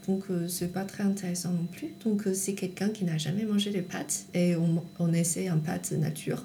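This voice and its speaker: In a Chinese accent, a woman talks at a fairly slow pace with ordinary pitch variation, amid noticeable background noise and audible room echo. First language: Chinese (speaking French). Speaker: tofu producer. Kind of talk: interview. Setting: at home in countryside. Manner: halting.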